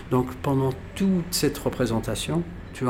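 Over noticeable background noise, the speech carries a lively intonation. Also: man. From Algeria (pied-noir family). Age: 50s. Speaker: violinist. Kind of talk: casual storytelling interview. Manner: animated.

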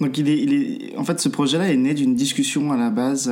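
Through noticeable background noise, a man races at a very fast pace, his fairly high pitch making very wide pitch swings. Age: 20s. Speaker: environmental activist and filmmaker. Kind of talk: interview. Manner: halting, many fillers.

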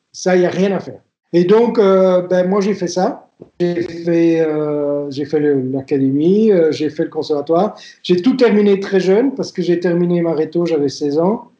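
Speaking at a fairly slow pace, a man with a high voice and a dark, mellow tone uses ordinary pitch variation. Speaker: violinist and violin teacher. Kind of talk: interview testimony. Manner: hesitant, with frequent fillers and restarts.

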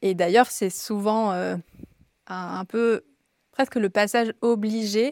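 The delivery is very slow, broken by long, frequent pauses. Intonation remains fairly even. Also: woman, medium pitch for a woman. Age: 30s. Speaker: yoga teacher and physiotherapist. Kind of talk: casual interview chat.

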